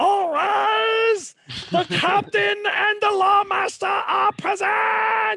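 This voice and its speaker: Shouting in a put-on character voice at an extremely high pitch, the speaker goes at a very slow pace. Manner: yelling, announcing.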